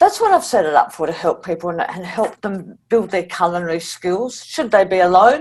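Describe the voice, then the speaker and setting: At a moderate pace with hardly any pauses, a woman speaks in an Australian accent at a medium pitch with ordinary pitch variation. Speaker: cancer survivor, food community founder. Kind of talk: interview conversation. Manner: altered speech after tongue surgery.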